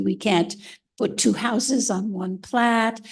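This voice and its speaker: Vocal fry marks a woman's speech, and her pitch varies in an ordinary way. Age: 80s+. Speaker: resident speaking at public comment. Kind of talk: public comment at township meeting. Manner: halting, many fillers.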